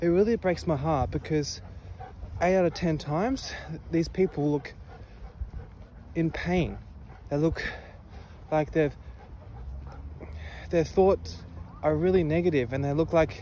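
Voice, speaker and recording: The speech moves at a fairly slow pace with long, frequent pauses and ordinary pitch variation, the sound dry with no echo over light background noise. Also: man. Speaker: vlogger. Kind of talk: casual vlog chat. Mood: reflective, a little sad. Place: street. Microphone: earbuds.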